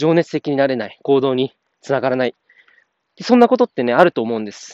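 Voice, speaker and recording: This man's voice sits fairly high and swings very widely in pitch. He talks at a fairly quick pace. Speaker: podcaster. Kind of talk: casual monologue. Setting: outdoors, walking.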